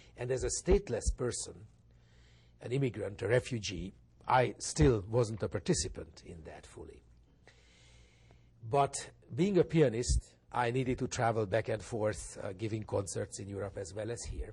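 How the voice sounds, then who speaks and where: With a Hungarian accent, the speaker talks at a moderate pace in a somewhat breathy voice with lively intonation, long, frequent pauses and big swings in loudness against a quiet background. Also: man, medium pitch for a man. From Hungary. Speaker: pianist and think tank director. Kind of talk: interview.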